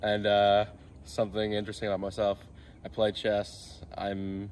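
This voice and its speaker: A man speaks at a moderate pace in a fairly low pitch with light background noise. His intonation is monotone and flat. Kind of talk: casual vlog chat. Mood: joking, playful. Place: street.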